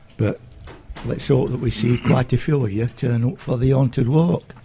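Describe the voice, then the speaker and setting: A man speaks at a medium pitch with ordinary pitch variation. Noticeable background noise runs behind him. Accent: South Yorkshire. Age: 70s. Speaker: community group chairman. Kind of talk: radio interview. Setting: school.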